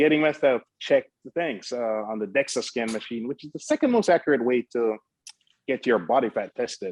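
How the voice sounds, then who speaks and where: A man with an ordinary speaking voice, medium in pitch, with ordinary pitch variation and a dry, close sound with no echo. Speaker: fitness coach. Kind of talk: interview answer.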